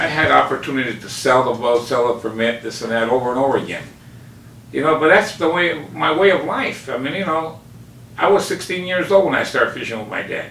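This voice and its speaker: This man talks at a fairly quick pace with lively intonation and a fairly high pitch. Room echo is audible, and there is noticeable background noise. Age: 60s. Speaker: fish market owner and fisherman. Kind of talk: interview.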